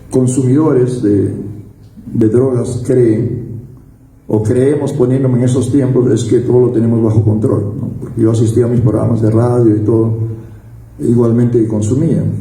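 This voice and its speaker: At a moderate pace, a man speaks in a monotone, flat intonation at a medium pitch, with audible room echo and noticeable background noise. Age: 60s. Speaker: recovered drug addict giving testimony, former radio worker. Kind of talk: personal testimony. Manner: halting, with frequent fillers and repetitions.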